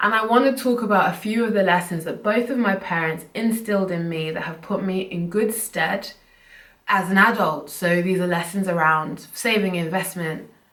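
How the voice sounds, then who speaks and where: A woman speaks at a moderate pace in a medium pitch with ordinary variation. Audible room echo surrounds her voice. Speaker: personal finance YouTuber. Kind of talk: casual vlog talk to camera. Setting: at home, filming to camera.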